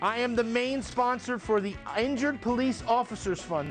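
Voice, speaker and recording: A man with a high pitch and ordinary pitch variation, with clear music in the background. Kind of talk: promotional walking tour. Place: shop.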